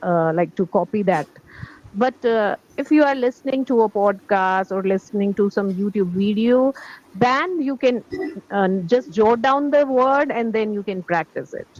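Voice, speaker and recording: In an Indian accent, a woman speaks at a moderate pace and medium pitch with lively intonation, the sound dry and close with no echo. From India, Delhi. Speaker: English teacher, language learner. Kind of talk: English conversation practice.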